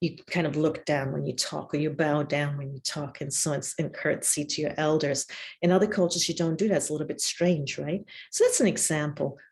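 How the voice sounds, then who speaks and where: A somewhat breathy woman's voice with very deep, low pitch, fairly even intonation and a moderate pace. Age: 60s. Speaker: professor. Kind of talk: lecture.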